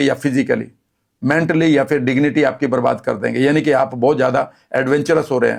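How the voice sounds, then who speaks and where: A man talks at a moderate pace in a fairly high voice with vocal fry. His intonation stays fairly even. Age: 60s. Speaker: health and wellness speaker. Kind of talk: interview.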